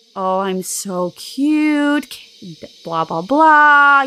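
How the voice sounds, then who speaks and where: A woman's high-pitched, put-on character voice. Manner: cutesy, sing-song.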